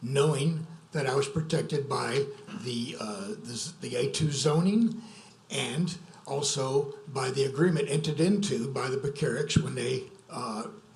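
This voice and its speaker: A man with a fairly high voice speaks with lively intonation. Noticeable background noise and audible room echo are present. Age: 70s. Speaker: local resident objecting. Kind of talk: public comment. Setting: zoning commission meeting.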